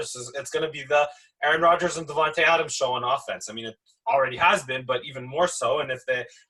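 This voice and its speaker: A man with a Montreal accent speaks at a very fast pace. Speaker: sports talk show host. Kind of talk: casual sports talk. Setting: live online show.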